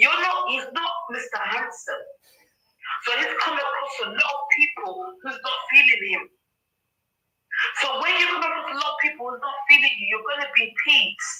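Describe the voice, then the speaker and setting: A woman with an African accent speaks in a raised, projected voice at a high pitch, her pitch swinging very widely and her loudness rising and falling sharply, at a moderate pace broken by long, frequent pauses. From London, England. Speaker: livestream participant. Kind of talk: heated discussion on a livestream. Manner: animated.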